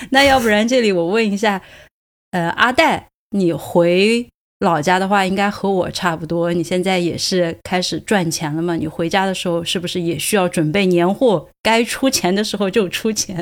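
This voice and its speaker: A woman with a plain, everyday voice, medium pitch, ordinary pitch variation and moderate pace, on a very clean recording with a silent background. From Sichuan, China. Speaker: podcast host. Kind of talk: casual chat.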